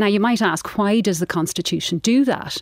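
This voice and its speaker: A woman with an Irish accent, recorded dry and close with no echo. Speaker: writer and former barrister. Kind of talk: debate. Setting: studio.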